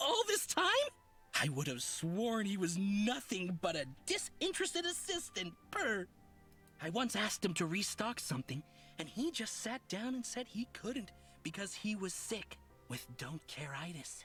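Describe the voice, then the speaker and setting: A put-on character voice, fairly high in pitch with very wide pitch swings, at a moderate pace over clear music in the background. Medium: video game. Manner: flowery, theatrical, over-polite; says purr aloud.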